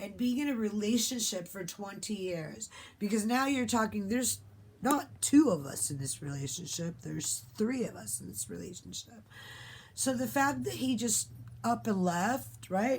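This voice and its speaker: A woman's animated voice at medium pitch and moderate pace, with vocal fry, very wide pitch swings and big swings in loudness. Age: 50s. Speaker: vlogger. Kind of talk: casual monologue.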